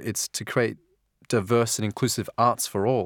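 A man speaks with an Australian accent at a medium pitch and moderate pace. The sound is dry and close with no echo, on a very clean recording with a silent background. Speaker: museum volunteer tour guide. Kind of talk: personal testimony.

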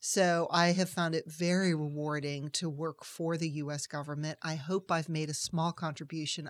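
In a very clean recording with a silent background, a woman speaks with an American accent, a fairly low pitch and monotone, flat intonation. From US Northeast (Massachusetts). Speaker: foreign policy expert, nonprofit president. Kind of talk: interview.

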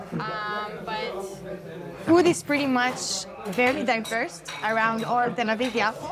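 Noticeable background noise and audible room echo surround speech at a fairly slow pace with long, frequent pauses and ordinary pitch variation. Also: woman, fairly high pitch for a woman. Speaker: Olympic surfer. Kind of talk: casual interview.

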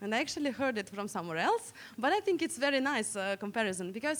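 Speaking with a Russian accent, a woman lets her pitch swing very widely. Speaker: digital security researcher. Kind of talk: conference talk. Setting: stage with audience. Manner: interactive.

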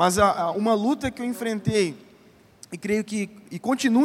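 A man with a high voice talks at a moderate pace. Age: 30s. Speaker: pastor. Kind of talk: conference panel talk. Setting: stage with audience.

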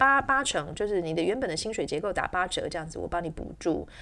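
A woman sounds animated on a very clean recording with a silent background. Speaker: English teacher and podcast host. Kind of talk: solo educational podcast monologue. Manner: animated, with frequent fillers.

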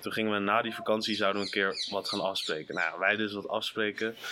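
With noticeable background noise behind him, a man speaks in a monotone, flat intonation. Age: 20s. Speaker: podcast co-host. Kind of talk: casual chat. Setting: outdoors.

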